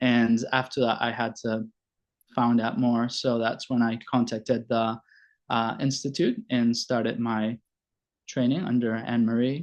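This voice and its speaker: A medium-pitched man with a Spanish accent, fairly slow pace and monotone, flat intonation, over a quiet background. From Venezuela, Caracas. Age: 40s. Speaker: family doctor and logotherapy presenter. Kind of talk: presentation. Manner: halting, many fillers.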